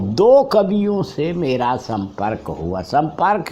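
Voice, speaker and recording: This man's voice moves through very wide pitch swings. His pitch rises and falls dramatically. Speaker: literary critic, professor. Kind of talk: interview answer.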